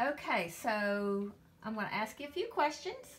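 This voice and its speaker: With noticeable background noise behind her, a woman keeps to a moderate pace. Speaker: interviewer, grandchild. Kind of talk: interview questions.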